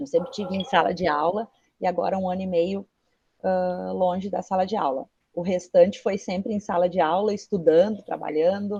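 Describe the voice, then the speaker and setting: Somewhat breathy and dark, mellow in tone, a woman's voice moves at a moderate pace. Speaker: teacher and researcher. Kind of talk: guest talk to a class.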